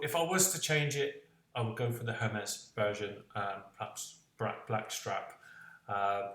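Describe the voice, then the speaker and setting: A man speaks at a fairly slow pace with a slight West Country accent, and there is audible room echo. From West Country of England. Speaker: tech reviewer. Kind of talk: product review vlog. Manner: hesitant, many fillers.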